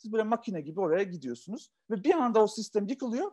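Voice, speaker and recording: Against a quiet background, a man with a high pitch speaks with lively intonation. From Yugoslavia, Turkish minority. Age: 40s. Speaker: entrepreneur; interview guest. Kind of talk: talk; interview answer. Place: home room. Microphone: video call.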